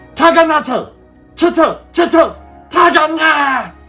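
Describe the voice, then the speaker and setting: A man's put-on character voice, guttural and gravelly, in a falsetto at an extremely high pitch, fairly slow paced, with faint music in the background. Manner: broken, stumbling speech.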